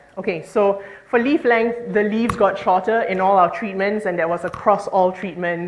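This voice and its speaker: Audible room echo and noticeable background noise fill the recording. Through them, a woman talks at a moderate pace. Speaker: marine scientist. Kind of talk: conference talk.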